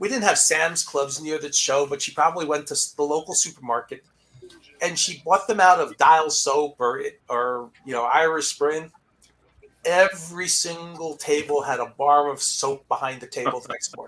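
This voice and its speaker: Fairly high in pitch, a man has an unremarkable speaking voice, moving at a moderate pace with ordinary pitch variation. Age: 60s. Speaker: sports card collector and live show host. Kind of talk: casual panel chat. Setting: live stream panel.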